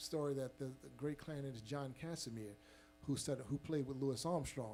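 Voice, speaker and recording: With a dark, mellow tone and audible room echo, a man speaks at a moderate pace and medium pitch with ordinary pitch variation. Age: 50s. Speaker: jazz trumpet player. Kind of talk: audience Q&A, storytelling. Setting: stage with live audience in museum. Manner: halting, many fillers.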